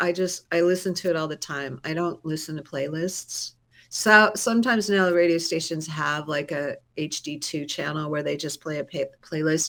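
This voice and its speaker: Her pitch is very deep and low for a woman. She speaks at a moderate pace. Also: ordinary pitch variation. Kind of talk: interview answer. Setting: online video call. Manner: lively, energetic.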